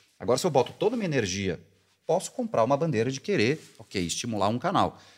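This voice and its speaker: A man's medium-pitched voice at a very fast pace. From interior of São Paulo state, Brazil. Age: 40s. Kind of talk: casual interview.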